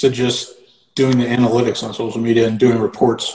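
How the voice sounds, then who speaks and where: A man with an American accent, medium pitch and a somewhat breathy sound, fairly quick, in monotone, flat intonation. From Connecticut. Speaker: sports marketing agency owner. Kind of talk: casual chat.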